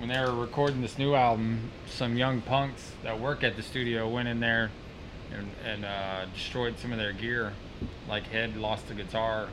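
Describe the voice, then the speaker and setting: This man's voice sits at a medium pitch, moving at a moderate pace. His intonation stays flat and monotone. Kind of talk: casual chat. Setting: studio.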